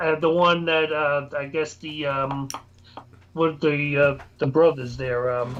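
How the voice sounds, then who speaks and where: A man with a New York accent, fairly high in pitch, at a very slow pace with monotone, flat intonation. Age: 60s. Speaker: paranormal investigator. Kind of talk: casual chat.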